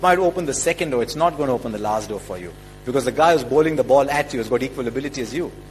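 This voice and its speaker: A man races through his words at a very fast pace with music in the background. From India. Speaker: cricket commentator. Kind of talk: motivational speech.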